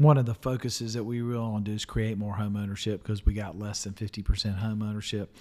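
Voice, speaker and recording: A man's fairly low-pitched voice with a Southern US accent. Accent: US South. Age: 50s. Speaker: podcast host and local politician. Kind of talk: interview. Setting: studio.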